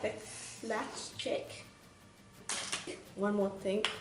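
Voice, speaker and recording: A woman talks at a very slow pace. Noticeable background noise and audible room echo fill the recording. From Vietnam. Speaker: makeup artist, beauty vlogger. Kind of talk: tutorial.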